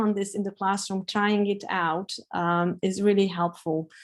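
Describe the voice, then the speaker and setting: A woman's fairly even intonation with a Hungarian accent. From Hungary. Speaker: professor. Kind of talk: webinar Q&A. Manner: hesitant, many fillers.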